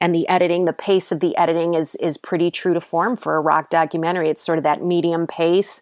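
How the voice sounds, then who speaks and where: A woman with a Midwestern American accent speaks at a fairly quick pace with a fairly low pitch, monotone, flat intonation and very even loudness. The recording is very clean, with a silent background. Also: dry, close sound with no echo. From Cleveland, Ohio. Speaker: teaching artist and filmmaker. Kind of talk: casual chat.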